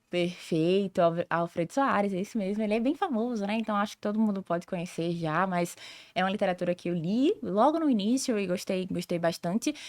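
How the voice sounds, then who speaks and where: A woman with a normal speaking voice talks at a fairly quick pace, medium in pitch with ordinary pitch variation. The sound is dry and close with no echo, and the recording is very clean with a silent background. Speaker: sales director and consultant. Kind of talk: podcast interview.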